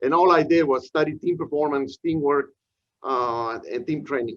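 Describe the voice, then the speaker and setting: A man is speaking. He has a Peruvian accent. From Peru, Lima. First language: Spanish. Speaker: professor. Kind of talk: lecture. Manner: frequent fillers and hesitations.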